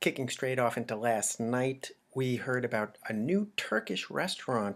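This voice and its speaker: A man speaks quietly at a medium pitch and a moderate pace. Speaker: local news blogger and video host. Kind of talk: casual news roundup. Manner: speaking quietly.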